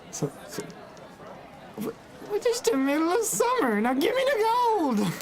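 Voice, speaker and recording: In a put-on character voice with extremely high pitch, the speech runs at a moderate pace with long, frequent pauses over clear background noise. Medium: actual play. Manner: rambling, repetitive, demanding.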